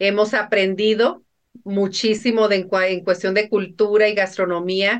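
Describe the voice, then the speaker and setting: A woman speaks in a medium pitch at a fairly slow pace. Her intonation is flat and monotone. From Mexico, northern Sinaloa. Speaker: businesswoman. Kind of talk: interview.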